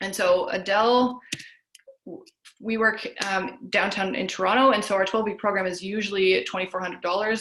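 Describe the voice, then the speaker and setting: A woman speaks at a medium pitch with ordinary pitch variation, and audible room echo surrounds her voice. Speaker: health coach. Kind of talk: webinar lecture. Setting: video call. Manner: fast.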